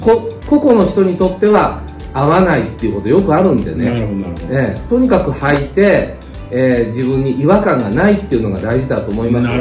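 Faint music plays in the background as a man talks at a moderate pace. The room echo is audible. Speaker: mountain guide giving advice. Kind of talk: interview answer. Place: home room. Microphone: phone near.

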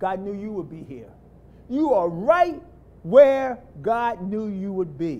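A man talks with an American accent. His pace is fairly slow and his intonation lively. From US inner city. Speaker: lay preacher. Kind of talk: sermon. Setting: church. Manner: animated. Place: church.

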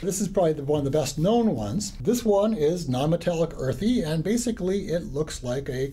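The speech moves at a moderate pace. Its pitch swings very widely. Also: man. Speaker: geology instructor. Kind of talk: lecture. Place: classroom.

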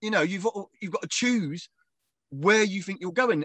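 In a southern English accent, a man speaks with very wide pitch swings, in a dry sound with no echo and a quiet background. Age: 40s. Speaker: professional wrestler. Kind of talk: casual interview. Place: home room. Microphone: video call.

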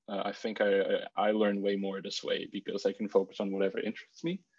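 A man speaks in a fairly low pitch. He has a Bulgarian accent. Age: 20s. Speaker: university student. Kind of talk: casual chat. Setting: video call.

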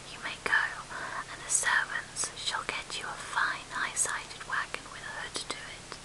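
Whispering at a fairly slow pace, a woman shows big swings in loudness over noticeable background noise. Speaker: ASMR whisper reader. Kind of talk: whispered audiobook reading of classic literature. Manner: whispered, soft-spoken, slow.

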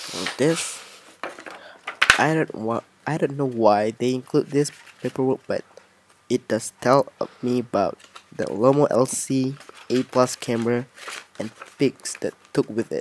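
Soft-spoken and mumbling, a man talks at a fairly slow pace with fairly even intonation and long, frequent pauses, in a dry sound with no echo and light background noise. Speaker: hobby photographer. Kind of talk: casual unboxing talk to camera. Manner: soft-spoken, somewhat mumbling. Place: home room. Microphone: camera far.

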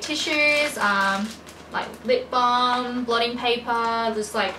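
A woman speaks with a bright, sharp tone. Faint background noise can be heard.

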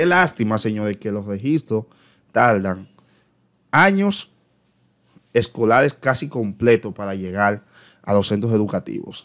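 In a quiet background, a man with a fairly low pitch speaks at a fairly slow pace, with ordinary pitch variation and long, frequent pauses. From Dominican Republic. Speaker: teacher and education YouTuber; teacher explaining a circular. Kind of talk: educational commentary on an official circular. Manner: hesitant, frequent filler eh. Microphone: webcam.

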